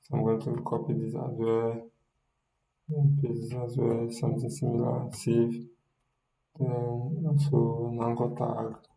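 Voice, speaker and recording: Music plays in the background and the room echo is audible. A man with a medium pitch speaks, leaving long, frequent pauses. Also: ordinary pitch variation, fairly slow pace. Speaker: web development instructor. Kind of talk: coding tutorial. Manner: soft-spoken; halting.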